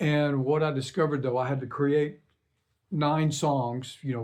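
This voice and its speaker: Speaking at a moderate pace, a man keeps a fairly high pitch and fairly even intonation. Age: 60s. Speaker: singer-songwriter. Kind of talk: casual talk to camera. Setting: home recording studio. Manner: hesitant, many fillers.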